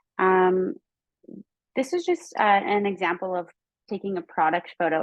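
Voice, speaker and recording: A woman speaks at a moderate pace and medium pitch, with ordinary pitch variation. It is a normal speaking voice. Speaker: photography workshop presenter. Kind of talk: webinar tutorial. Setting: video call webinar.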